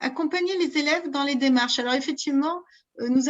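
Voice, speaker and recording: This woman talks at a high pitch with ordinary pitch variation. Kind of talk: interactive online workshop. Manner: hesitant, many fillers.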